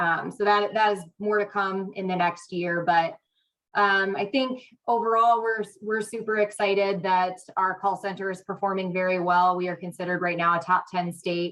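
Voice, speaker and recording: In an ordinary speaking voice, a woman talks at a moderate pace with medium pitch and fairly even intonation. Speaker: state crisis line program manager. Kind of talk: meeting presentation. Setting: hybrid meeting, remote or in person.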